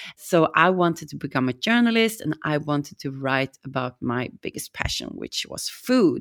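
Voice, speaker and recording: A woman with a Swedish accent speaks at a moderate pace with hardly any pauses, her very deep, low pitch making very wide swings. The recording is very clean, with a silent background. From Sweden. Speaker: restaurant owner. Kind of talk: casual chat.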